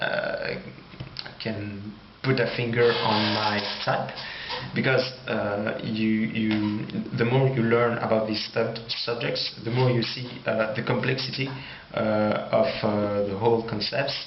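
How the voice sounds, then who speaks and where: A man with a French accent speaks at a very slow pace and medium pitch, in monotone, flat intonation. Noticeable background noise and audible room echo are present. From France. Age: 20s. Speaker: YouTuber. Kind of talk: personal monologue. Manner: halting.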